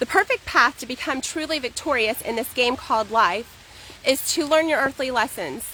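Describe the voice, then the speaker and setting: A woman speaks in a raised, projected voice at a high pitch with lively intonation. Noticeable background noise is heard behind her. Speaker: poet. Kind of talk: poetry reading. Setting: outdoors. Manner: fast.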